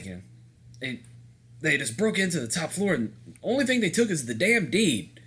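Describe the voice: A man puts on a gruff character voice, fairly high in pitch with very wide pitch swings, speaking at a moderate pace with long, frequent pauses.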